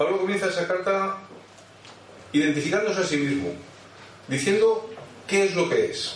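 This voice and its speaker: With audible room echo and noticeable background noise, a man speaks at a high pitch and a moderate pace, using ordinary pitch variation and long, frequent pauses. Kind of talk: sermon.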